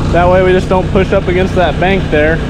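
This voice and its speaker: Moderate pace, dry sound with no echo, and loud background noise. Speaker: drainage contractor worker. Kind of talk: casual vlog commentary. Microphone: phone near.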